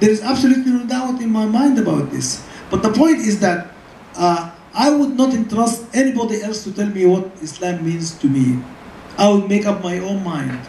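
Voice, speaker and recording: Someone with an Arabic accent speaks at a fairly quick pace amid noticeable background noise. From Sudan. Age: 70s. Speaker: scholar. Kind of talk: lecture Q&A answer. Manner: halting, with repetitions.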